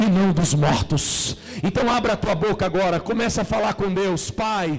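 There is noticeable background noise behind the speaker. A man talks at a fairly slow pace. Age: 40s. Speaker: pastor. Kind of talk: sermon. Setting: church.

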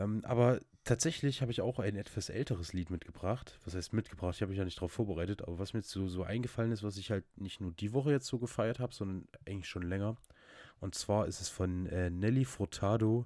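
In a very clean recording with a silent background, a man with a fairly low pitch and a dark, mellow tone speaks very fast with ordinary pitch variation. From Saxony, Zwickau. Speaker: podcast co-host. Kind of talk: casual chat.

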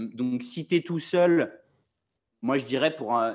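A man talks in a plain, everyday voice. His pitch is fairly high, with ordinary pitch variation. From Paris, France. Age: 20s. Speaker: freelance video director. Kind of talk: casual chat.

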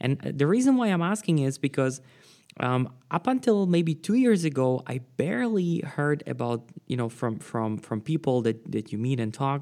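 Dark and mellow in tone, this man's voice sits fairly high. His intonation is lively. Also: moderate pace. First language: non-English, Slavic. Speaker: podcast host. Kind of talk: interview. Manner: hesitant, many fillers.

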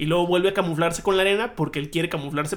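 Speaking at a very fast pace, a man keeps a fairly high pitch and fairly even intonation. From Hermosillo, Sonora, Mexico. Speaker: podcast co-host. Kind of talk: casual chat.

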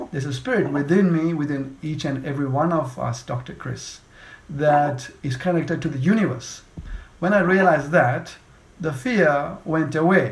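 Audible room echo surrounds a man's somewhat breathy, fairly high voice. He keeps a moderate pace with ordinary pitch variation. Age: 40s. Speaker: podcast host and speech coach. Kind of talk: interview.

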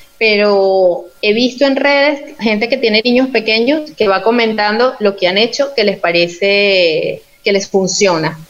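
The speech has ordinary pitch variation in a plain, everyday voice. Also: woman, fairly high pitch for a woman, fairly slow pace. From Venezuela, Yaracuy state. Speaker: clinical and social psychologist, researcher. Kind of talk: interview in an online live talk.

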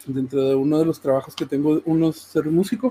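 A man with a Mexican accent, fairly high-pitched, at a moderate pace. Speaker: fighting game commentator and musician. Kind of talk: casual chat.

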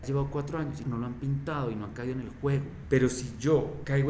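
Spoken at a moderate pace, the voice carries audible room echo over noticeable background noise. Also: man. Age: 30s. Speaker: graffiti collective director. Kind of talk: interview.

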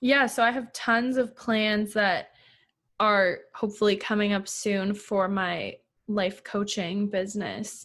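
A woman speaks at a very slow pace with medium pitch and fairly even intonation against a quiet background. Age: 20s. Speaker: photographer and life coach. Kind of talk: interview.

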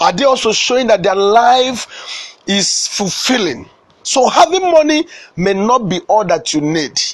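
With a Nigerian accent, a man with a high voice talks at a fairly slow pace in very wide pitch swings. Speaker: motivational speaker. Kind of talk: sermon. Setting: studio.

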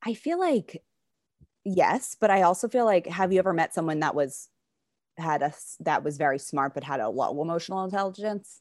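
A woman speaks fairly quickly in an unremarkable speaking voice, pitched fairly low with lively intonation. The recording is very clean, with a silent background. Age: 20s. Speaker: podcast co-host. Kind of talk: casual chat.

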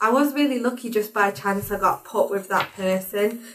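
At a moderate pace, a woman talks with a strong northern English accent. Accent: strong northern English (Warrington). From Warrington, northern England. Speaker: higher education engagement assistant. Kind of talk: casual chat.

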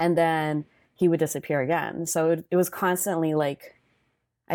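In a very clean recording with a silent background, a woman speaks at a fairly low pitch with a dark, mellow tone. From US, Salvadoran immigrant family. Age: 20s. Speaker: corporate finance worker and content creator. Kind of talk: casual interview chat.

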